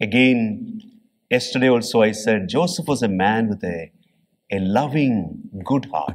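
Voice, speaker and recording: Over a quiet background, a man talks fairly slowly with lively intonation. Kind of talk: homily. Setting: church. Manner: earnest, teacherly, explaining scripture in plain, steady phrases. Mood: earnest, gentle. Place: church. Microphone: podium.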